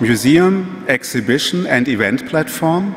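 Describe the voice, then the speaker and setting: A man speaks in a German accent at a moderate pace. His pitch is fairly high. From Germany. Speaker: museum executive; speaker. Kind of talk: lecture. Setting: stage with audience. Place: hall. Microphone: podium.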